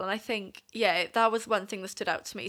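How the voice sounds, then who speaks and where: A woman with a Welsh accent speaks at a medium pitch with fairly even intonation on a very clean recording with a silent background. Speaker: youth camp attendee. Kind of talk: casual chat. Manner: giggly.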